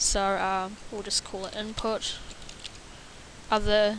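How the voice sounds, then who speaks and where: A woman speaks at a fairly slow pace and a medium pitch. Noticeable background noise runs underneath. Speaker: programming tutor. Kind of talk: tutorial. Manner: halting, many fillers; stutter.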